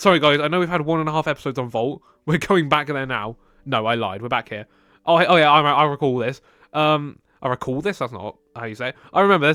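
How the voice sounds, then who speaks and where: A man with a British accent talks at a very fast pace, with a fairly high pitch, ordinary pitch variation and a bright, sharp tone. The recording is very clean, dry and close, with no echo and a silent background. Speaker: video game builder and commentator. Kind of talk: gameplay voiceover commentary. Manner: calm; halting, many fillers and restarts.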